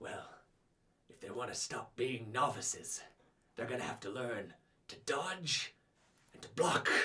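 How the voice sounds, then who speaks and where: Using a put-on character voice, a man speaks at a medium pitch with long, frequent pauses. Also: moderate pace. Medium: actual play. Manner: scornful.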